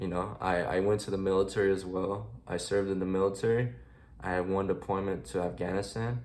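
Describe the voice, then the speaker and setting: Speaking at a fairly quick pace, a man has a very deep, low pitch with ordinary pitch variation. Audible room echo surrounds his voice. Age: 20s. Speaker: military veteran sharing his life story. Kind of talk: personal testimony vlog. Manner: halting, many fillers.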